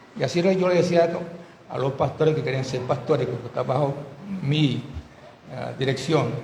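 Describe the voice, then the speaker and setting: A man talks at a fairly high pitch and a moderate pace with ordinary pitch variation. Noticeable background noise and audible room echo are present. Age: 70s. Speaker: pastor. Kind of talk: sermon.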